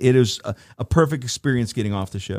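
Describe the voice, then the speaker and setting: A man with an ordinary speaking voice talks at a moderate pace in a medium pitch with lively intonation, the sound dry and close with no echo. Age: 60s. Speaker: travel company president, cruise reviewer. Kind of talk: casual interview.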